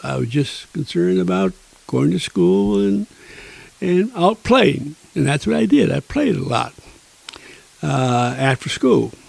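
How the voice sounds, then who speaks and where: Speaking with an American accent, a man takes a fairly slow pace. His pitch swings very widely. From Niagara Falls, New York. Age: 90s. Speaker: retired teacher and author. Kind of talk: interview storytelling. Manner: spry, vibrant.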